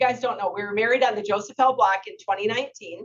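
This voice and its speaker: A woman talks at a very fast pace. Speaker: retired adventurer and author. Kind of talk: public talk. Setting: museum talk with audience. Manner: loud.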